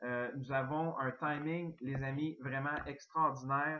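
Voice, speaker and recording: With fairly even intonation, a man talks at a very slow pace and a fairly high pitch. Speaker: network marketing distributor. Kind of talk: sales pitch.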